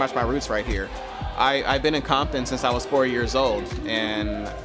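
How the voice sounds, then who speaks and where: A man keeps a moderate pace while clear music plays behind him. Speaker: pilot vlogger. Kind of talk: casual vlog chat. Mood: proud, reflective. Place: street. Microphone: phone near.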